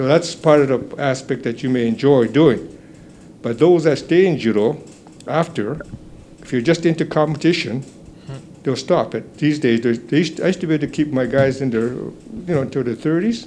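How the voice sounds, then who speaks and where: A man speaks at a moderate pace with a dark, mellow tone, fairly high in pitch, with ordinary pitch variation. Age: 80s+. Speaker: judo instructor. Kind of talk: interview. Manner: halting.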